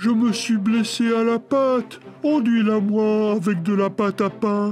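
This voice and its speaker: Someone in a put-on character voice speaks at a fairly slow pace and a fairly high pitch over clear background noise. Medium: read story. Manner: cunning, play-acting.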